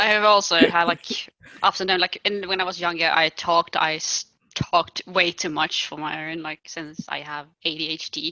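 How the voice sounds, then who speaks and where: A woman speaks with a Swedish accent at a moderate pace and a fairly low pitch. Her intonation is fairly even, but her loudness swings a lot. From Sweden. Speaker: podcast host. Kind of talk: casual chat.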